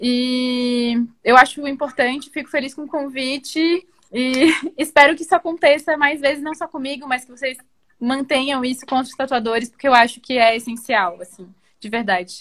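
A woman's high voice, its pitch varying in an ordinary way. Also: moderate pace. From Florianópolis, southern Brazil. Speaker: tattoo artist. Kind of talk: interview.

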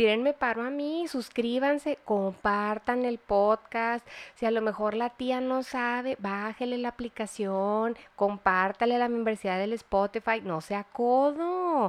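Speech comes at a very slow pace in a Mexican accent, with hardly any pauses. The sound is dry and close with no echo, over a quiet background. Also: woman, fairly high pitch for a woman, ordinary pitch variation. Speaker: nutritionist podcast host. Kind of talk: casual chat.

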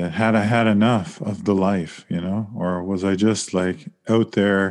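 A man with a Canadian accent uses a normal speaking voice, fairly low in pitch with fairly even intonation, against a quiet background. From Saskatchewan, Canada. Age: 40s. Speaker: author and professor. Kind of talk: interview.

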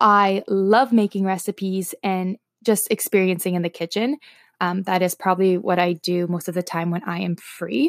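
A woman at medium pitch speaks at a moderate pace in a nervous, excited tone. The sound is dry and close with no echo, a very clean recording with a silent background. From Toronto, Canada. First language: Slovak. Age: 20s. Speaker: podcaster and wellness blogger. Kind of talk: casual chat, first podcast episode monologue. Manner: nervous, excited, chatty, many filler words.

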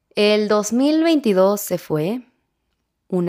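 In a Mexican accent, a woman speaks at a medium pitch in an animated tone with very wide pitch swings, on a very clean recording with a silent background. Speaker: podcast host. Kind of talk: casual monologue; reflective reading.

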